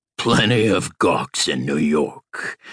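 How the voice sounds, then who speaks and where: A man growls in a gruff, put-on character voice at a fairly low pitch. The sound is dry and close, with no echo. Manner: gruff, laughing.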